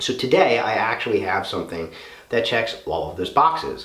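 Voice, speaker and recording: Speaking at a moderate pace, a man is heard with noticeable background noise and audible room echo. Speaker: gun reviewer. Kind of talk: product review video. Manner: casual.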